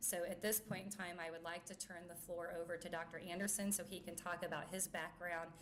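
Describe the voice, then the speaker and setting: In a fairly low pitch, a woman talks with monotone, flat intonation, and audible room echo surrounds her voice. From US Midwest, rural Missouri-Iowa border. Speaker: company chief executive. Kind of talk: press conference speech. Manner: halting, many filler words.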